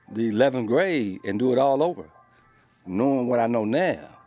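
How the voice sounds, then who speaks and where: With music in the background, a man speaks at a medium pitch with lively intonation. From South Central Los Angeles. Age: 60s. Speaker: former prisoner. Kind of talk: interview. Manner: casual.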